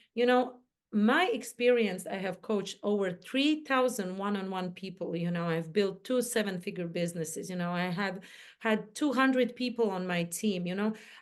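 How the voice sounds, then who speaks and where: Ordinary pitch variation comes with a non-native accent in this speech. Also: woman, medium pitch for a woman, moderate pace. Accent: foreign accent, imperfect English. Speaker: mindset coach and entrepreneur. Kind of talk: interview chat.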